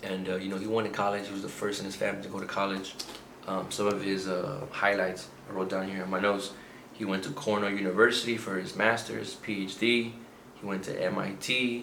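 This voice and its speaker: A man speaks at a fairly quick pace in a fairly low pitch with monotone, flat intonation, with noticeable background noise and audible room echo. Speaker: book reviewer. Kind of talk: casual video monologue. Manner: halting, many fillers.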